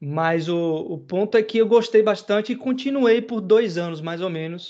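The man's speech has ordinary pitch variation. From interior of Bahia, Brazil. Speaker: podcast host, computing lecturer. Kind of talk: casual chat. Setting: live video stream.

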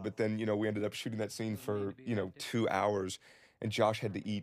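The recording is very clean, and the background is silent. A man speaks. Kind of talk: film commentary.

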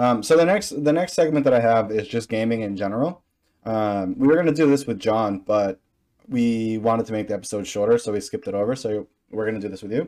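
Over a quiet background, a man with a dark, mellow tone and medium pitch talks at a very fast pace with ordinary pitch variation. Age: 20s. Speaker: podcast host and streamer. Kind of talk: casual interview chat. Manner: animated.

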